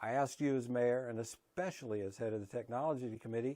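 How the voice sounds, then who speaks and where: Speaking fairly quickly with an American accent, a man uses a dark, mellow tone at medium pitch and fairly even intonation against a quiet background. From Kentucky. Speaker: concerned homeowner. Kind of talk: prepared public statement to camera.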